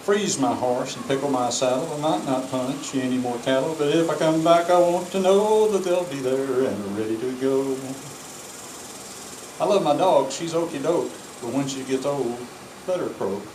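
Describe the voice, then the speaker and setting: At a moderate pace, a man with a fairly high pitch speaks with lively intonation amid noticeable background noise. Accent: American. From Texas. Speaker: cowboy poet. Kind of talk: poetry reading. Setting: outdoors.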